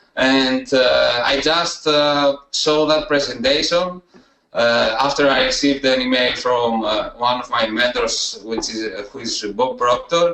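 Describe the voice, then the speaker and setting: Here a man speaks with a Greek accent. His pitch is fairly high, and his pace fairly slow. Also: ordinary pitch variation. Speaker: student success story, email marketer. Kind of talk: interview testimony. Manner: halting, many hesitations.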